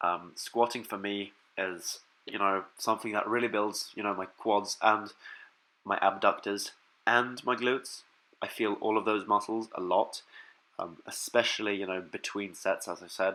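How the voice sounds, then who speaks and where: This man's voice is fairly low, with a bright, sharp tone. He keeps a monotone, flat intonation at a moderate pace. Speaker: fitness vlogger. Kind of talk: casual vlog talk. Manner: hesitant, many fillers.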